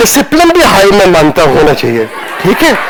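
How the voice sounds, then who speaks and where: Someone speaks with a Punjabi accent over noticeable background noise. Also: man. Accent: Punjabi-accented Hindi pronunciation. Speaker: retired army general. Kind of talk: lecture. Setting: classroom with students.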